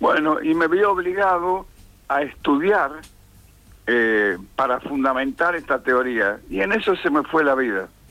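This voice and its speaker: Over music in the background, a man with a fairly high pitch speaks at a fairly slow pace, with very wide pitch swings and very even loudness. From Argentina, Tucumán. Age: 80s+. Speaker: theatre teacher and director. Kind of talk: interview.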